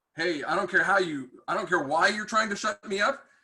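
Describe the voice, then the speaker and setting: A man speaks loudly at a fairly quick pace. His tone is bright and sharp. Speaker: tech industry manager and mentor. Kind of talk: webinar talk. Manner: hesitant with many fillers.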